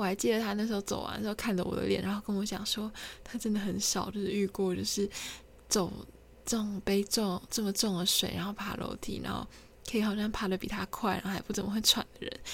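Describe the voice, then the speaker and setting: A woman talks at a very fast pace with monotone, flat intonation. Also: medium pitch for a woman. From Taiwan, Kinmen. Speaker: podcaster. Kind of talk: solo storytelling monologue. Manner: halting, many fillers.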